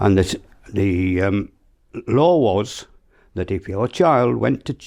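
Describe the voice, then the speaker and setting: Against a quiet background, a man speaks fairly slowly with a Yorkshire accent. His tone is dark and mellow. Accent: broad Yorkshire. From South Yorkshire, England. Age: 80s. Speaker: elderly local resident sharing memories. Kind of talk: oral history interview, reminiscing. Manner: halting, with frequent fillers and restarts.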